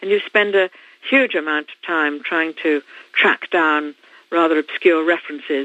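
A woman with a British accent speaks at a fairly low pitch, with big swings in loudness. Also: ordinary pitch variation, moderate pace. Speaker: author. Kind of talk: interview. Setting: phone call.

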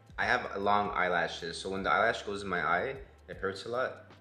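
With audible room echo and light background noise, a man with a fairly low pitch speaks at a fairly quick pace. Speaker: vlogger. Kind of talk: casual vlog chat. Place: home room. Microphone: phone near.

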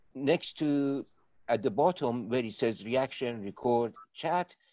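The voice has a dark, mellow tone. The sound is dry with no echo, over a quiet background. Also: man. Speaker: presenter. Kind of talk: informal session introduction to online audience. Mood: relaxed, friendly. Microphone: video call.

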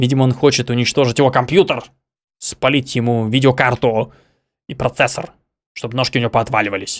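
Fairly even intonation and a fairly quick pace from a man. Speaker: streamer reacting to videos. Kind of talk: casual reaction commentary.

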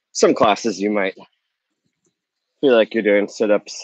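In a dry sound with no echo and a quiet background, a man speaks at a fairly low pitch. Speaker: yoga teacher. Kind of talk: tutorial. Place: garden.

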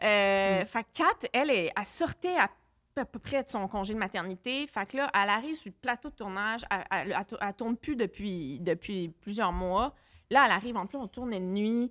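A woman with lively intonation talks at a moderate pace, the background quiet. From Quebec City; Quebec. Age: 30s. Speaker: film director; podcast guest. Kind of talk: casual chat. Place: studio. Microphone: studio mic.

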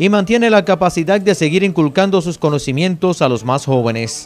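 Music plays in the background as the voice moves at a moderate pace with lively intonation. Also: man. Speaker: news reporter. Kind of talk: TV news narration.

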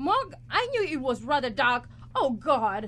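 A woman's put-on character voice, high-pitched and fairly bright, with big pitch swings at a fairly slow pace.

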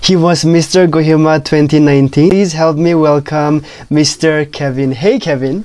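A man's fairly high voice at a fairly slow pace, with fairly even intonation, very even loudness and a quiet background. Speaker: talk show host. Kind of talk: casual interview. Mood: cheerful, smiling. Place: home room. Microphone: lapel.

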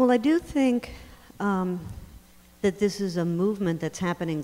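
The tone is dark and mellow, the pace moderate and the pitch variation ordinary. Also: woman. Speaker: lawyer and legal scholar; panelist. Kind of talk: panel discussion. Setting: stage with audience. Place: hall. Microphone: handheld.

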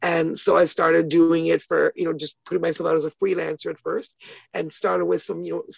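Over a quiet background, a woman talks at a fairly quick pace in a dry sound with no echo. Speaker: interview guest. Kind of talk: interview answer. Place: home room. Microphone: phone near.

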